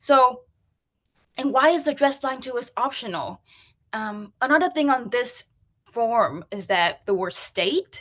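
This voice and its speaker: Speaking in a Vietnamese accent, a woman with a high pitch uses lively intonation at a fairly slow pace, with long, frequent pauses. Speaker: UX and accessibility practitioner. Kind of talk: conference talk.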